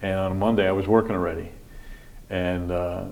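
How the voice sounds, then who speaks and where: A man is speaking. His pace is fairly quick. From upstate New York, Montgomery County (moved from Brooklyn at ten). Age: 60s. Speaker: county sheriff. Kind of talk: interview, casual chat. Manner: halting, with frequent fillers and restarts.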